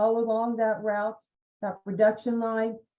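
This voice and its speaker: A woman speaks with an American accent at a moderate pace. Her voice is fairly high in pitch with a dark, mellow tone. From Ohio Valley. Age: 60s. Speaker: environmental scientist. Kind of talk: presentation. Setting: webinar. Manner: conversational, with fillers.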